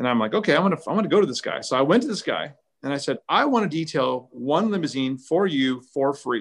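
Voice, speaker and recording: A man with a Californian accent talks at a very fast pace, his voice fairly high-pitched for a man, with lively intonation. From Southern California (Orange County). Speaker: car care brand founder. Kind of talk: interview. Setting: live stream. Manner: animated.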